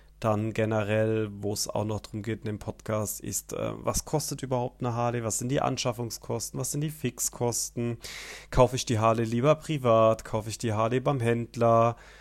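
Fairly even intonation at a moderate pace, in a very clean recording with a silent background. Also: man, medium pitch for a man. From southern Hesse, Bergstraße. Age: 20s. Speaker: podcast host. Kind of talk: podcast monologue. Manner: hesitant, many filler sounds.

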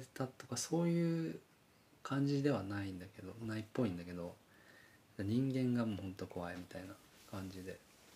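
Somewhat breathy, a man speaks at a medium pitch with very wide pitch swings. His pace is moderate, with long, frequent pauses. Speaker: podcast co-host and band musician. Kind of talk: casual chat.

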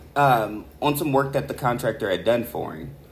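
A man with a plain, everyday voice speaks at a fairly slow pace with ordinary pitch variation. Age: 30s. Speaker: true crime podcast co-host. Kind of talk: casual chat.

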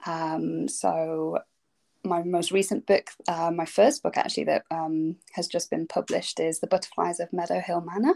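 A woman talks at a moderate pace. The recording is very clean, with a silent background and a dry, close sound with no echo. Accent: English Midlands. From England, Derbyshire. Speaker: children's fantasy author. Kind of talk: casual interview.

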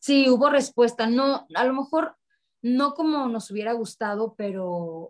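A woman speaks in a plain, everyday voice at a fairly slow pace. Her intonation is lively. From Mexico, Sonora (Ciudad Obregón). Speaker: musical theatre singer and actress. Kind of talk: interview conversation.

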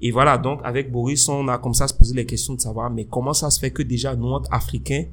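Here is a normal speaking voice with fairly even intonation. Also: man. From Benin. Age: 30s. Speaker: podcast co-host. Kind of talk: casual chat.

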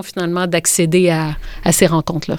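A woman with a medium pitch is heard on a very clean recording against a silent background. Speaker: author and illustrator. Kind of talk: interview.

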